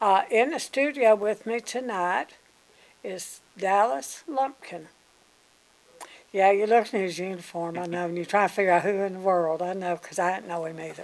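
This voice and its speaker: A woman with a Mississippi accent speaks at a moderate pace and medium pitch, with ordinary pitch variation and big swings in loudness. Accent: Southern US (Mississippi). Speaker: local TV interviewer. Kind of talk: TV interview. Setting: TV studio.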